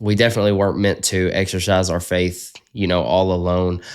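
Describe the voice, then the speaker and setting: A man with a strong Southern US accent on a very clean recording with a silent background. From US South. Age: 20s. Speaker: podcast host. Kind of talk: casual interview chat.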